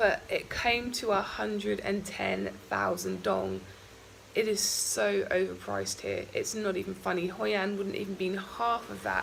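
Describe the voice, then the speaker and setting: Noticeable background noise fills the recording. A woman speaks at a moderate pace. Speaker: travel vlogger. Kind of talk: vlog monologue. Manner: hesitant with many ums.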